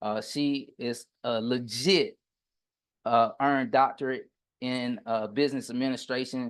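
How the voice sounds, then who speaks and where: A man speaks in a Southern US accent at a medium pitch with ordinary pitch variation. The background is quiet. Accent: Southern US, country. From US South, Pensacola, Florida. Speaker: business coach and contractor. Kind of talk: online workshop lecture. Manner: occasionally tongue-tied.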